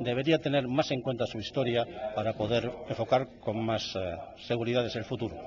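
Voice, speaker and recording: Here a man speaks at a medium pitch and moderate pace. His intonation is fairly even. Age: 60s. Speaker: novelist. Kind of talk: radio interview. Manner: halting, many fillers.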